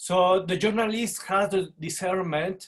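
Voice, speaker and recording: A man's high-pitched voice with a Spanish accent. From Mexico. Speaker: journalist. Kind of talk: panel discussion.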